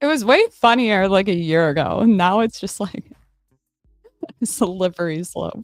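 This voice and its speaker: A woman speaks at a medium pitch with lively intonation. The sound is dry and close with no echo, and music plays in the background. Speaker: livestreamer and political commentator. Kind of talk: casual livestream chat reading comments. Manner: animated.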